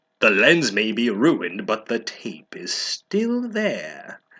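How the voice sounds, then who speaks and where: A put-on character voice from a man, pitched high. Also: fairly slow pace. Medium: read story. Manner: angry, gloating.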